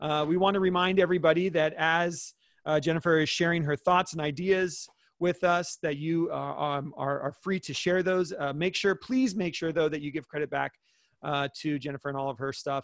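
Over a quiet background, a man with a high pitch talks at a moderate pace in a dry sound with no echo. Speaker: education webinar host. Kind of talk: webinar introduction. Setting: online webinar. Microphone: video call.

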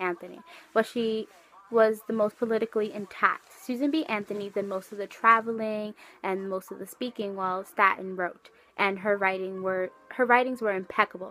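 Intonation is fairly even. The delivery moves at a fairly quick pace. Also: woman. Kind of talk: class presentation. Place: home room. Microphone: webcam.

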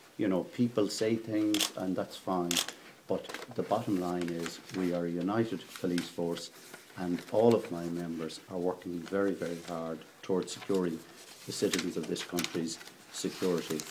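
With a very deep, low pitch, a man talks at a moderate pace in fairly even intonation over noticeable background noise. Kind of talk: interview answer. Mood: firm, defensive. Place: hall.

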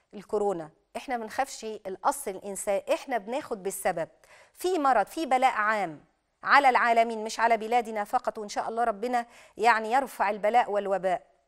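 The background is quiet. A woman speaks at a moderate pace with a fairly high pitch and ordinary pitch variation. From Egypt. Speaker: Islamic preacher and TV host; Islamic preacher, TV host. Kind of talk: religious TV program with Quran commentary and call-ins. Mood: calm, reassuring. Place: studio.

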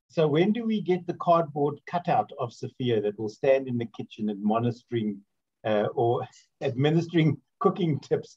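Over a quiet background, a man with a fairly high, somewhat breathy voice talks at a moderate pace with very wide pitch swings. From South Africa, Port Elizabeth; South Africa. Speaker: interviewer and radio host; interviewer, radio host. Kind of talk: casual interview chat. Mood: warm, jokey, anecdotal. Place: home room. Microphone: video call.

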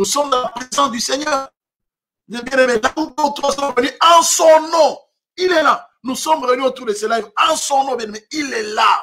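A raised, projected voice at a fairly slow pace, with long, frequent pauses and faint music in the background. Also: man. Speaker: preacher. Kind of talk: sermon. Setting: online livestream from home. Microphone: webcam.

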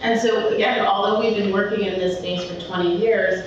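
Against noticeable background noise and strong room echo, a woman speaks at a moderate pace. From Philadelphia. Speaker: conference speaker, tech business development lead. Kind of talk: conference talk. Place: hall.

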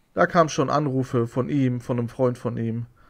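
The background is quiet as a man goes at a moderate pace. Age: 30s. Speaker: YouTuber. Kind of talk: video rant; casual monologue storytelling. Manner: agitated, repetitive. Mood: aggrieved, indignant. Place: home room. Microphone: studio mic.

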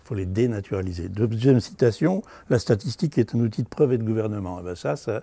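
A man's somewhat breathy voice has lively intonation and moves at a fairly quick pace. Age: 70s. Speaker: university academic. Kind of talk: interview testimony.

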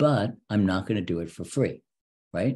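The tone is dark and mellow. The intonation is lively. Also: man, fairly low pitch for a man, moderate pace.

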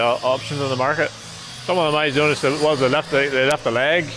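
Over noticeable background noise, a man with a Northern Irish accent talks at a very fast pace in a fairly high voice with fairly even intonation. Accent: Northern Irish (Ulster). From Northern Ireland. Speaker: farmer and video presenter. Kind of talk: casual chat. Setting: outdoors.

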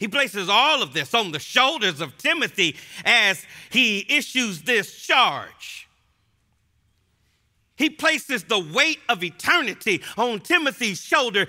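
A man with a bright, sharp tone projects his raised voice at a fairly slow pace, his pitch swinging very widely over a quiet background. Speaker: preacher. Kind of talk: expository sermon to a live audience. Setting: live audience in a gym. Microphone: headset.

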